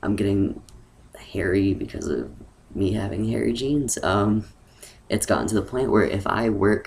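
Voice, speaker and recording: A man's fairly low-pitched voice with vocal fry. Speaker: transgender vlogger. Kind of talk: casual vlog monologue. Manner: hesitant, many fillers.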